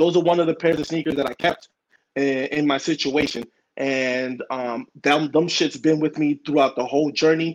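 This man's voice sits fairly high. He keeps a moderate pace with fairly even intonation. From New York, Dominican family. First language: Spanish. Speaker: guest, sneaker business owner. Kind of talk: interview. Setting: online call with audio issues.

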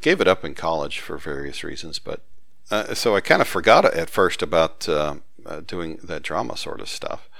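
A man talks with a Southern US accent at a moderate pace. His loudness swings widely. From US South. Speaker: author and database expert. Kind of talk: casual interview conversation.

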